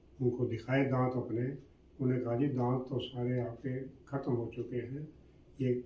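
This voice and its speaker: Audible room echo surrounds a man speaking at a medium pitch with monotone, flat intonation. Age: 80s+. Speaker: dental patient. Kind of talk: testimonial.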